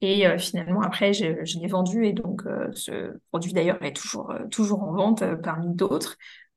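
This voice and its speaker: A woman's voice comes out somewhat breathy at a fairly slow pace. Her intonation stays fairly even. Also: medium pitch for a woman. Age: 20s. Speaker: content creator and freelance social media manager. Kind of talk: casual interview.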